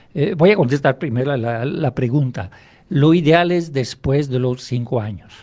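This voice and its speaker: A man speaks at a fairly slow pace in a fairly high pitch. His tone is dark and mellow, with ordinary pitch variation. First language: French (speaking Spanish). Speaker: hypnotherapist. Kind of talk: radio interview.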